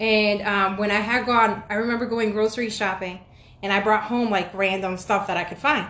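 The delivery proceeds at a moderate speed. It is an ordinary speaking voice. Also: woman. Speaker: podcast host.

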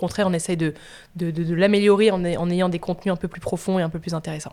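The recording is very clean, with a silent background, as a woman talks at a very fast pace. Her fairly low voice has a dark, mellow tone and monotone, flat intonation. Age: 20s. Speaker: media entrepreneur. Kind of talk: casual interview.

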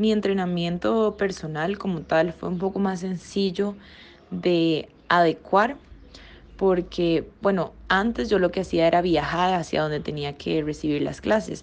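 A woman with an unremarkable speaking voice talks at a fairly slow pace, her fairly low pitch moving with ordinary variation. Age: 20s. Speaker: professional dancer and dance teacher. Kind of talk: podcast interview.

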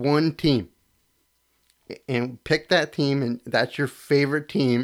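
A man's fairly high voice with an American accent. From Connecticut. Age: 30s. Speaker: sports podcast host. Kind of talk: casual solo sports talk. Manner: casual, filler-heavy.

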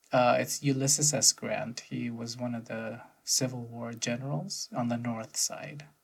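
A man speaks very slowly in a medium pitch with ordinary pitch variation. His voice is somewhat breathy. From United States. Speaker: podcast co-host. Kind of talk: casual chat.

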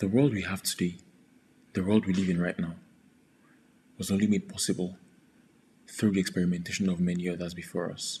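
Long, frequent pauses break up the fairly quick speech of a man whose pitch is very deep and low. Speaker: podcast host. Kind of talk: solo podcast monologue.

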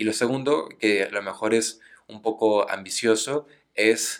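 A man with a Mexican accent, medium pitch and fairly even intonation at a fairly slow pace. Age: 20s. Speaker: lawyer. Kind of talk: casual chat.

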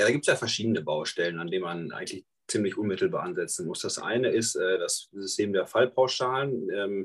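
The man keeps a fairly quick pace. Pauses are hardly there at all. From northern Germany, Münsterland. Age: 20s. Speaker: nurse and state election candidate. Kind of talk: political discussion.

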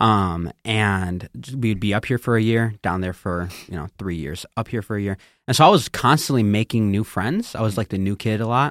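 Here is a man with a fairly low pitch, ordinary pitch variation and an ordinary speaking voice. The very clean recording has a silent background and a dry, close sound with no echo. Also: moderate pace. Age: 20s. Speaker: youth and young adult pastor. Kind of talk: casual chat, personal testimony.

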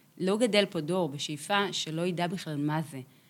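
Pitched fairly low, a woman speaks in an unremarkable speaking voice with ordinary pitch variation. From Israel, kibbutz in Beit She'an valley. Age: 30s. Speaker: chief music editor of a radio station. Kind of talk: interview conversation.

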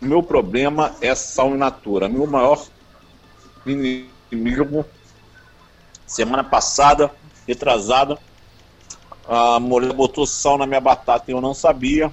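A man speaks at a very slow pace with medium pitch and fairly even intonation, leaving long, frequent pauses. Noticeable background noise runs behind him. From Rio de Janeiro, Brazil. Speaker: YouTuber and composer. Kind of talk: casual chat. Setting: phone call from a taxi. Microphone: call drops in tunnel.

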